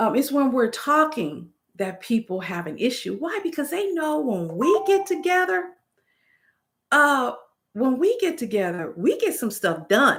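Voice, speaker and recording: In a very clean recording with a silent background, a woman speaks loudly and in an animated tone, her very wide pitch swings dipping into vocal fry. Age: 50s. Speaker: YouTuber. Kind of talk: live stream chat. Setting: live stream.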